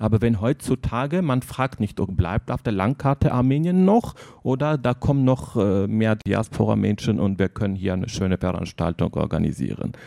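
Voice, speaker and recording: With a non-native accent, a man of medium pitch speaks at a moderate pace in a dark, mellow tone with lively intonation, the sound dry and close with no echo. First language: not German (speaking German). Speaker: editor of a book by post-Soviet journalists. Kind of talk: interview. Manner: halting.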